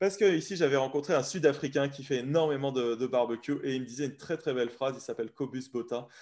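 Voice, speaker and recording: A man rushes along at a very fast pace with hardly any pauses, using ordinary pitch variation and a fairly high pitch. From France. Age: 30s. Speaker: barbecue blogger. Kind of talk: casual interview.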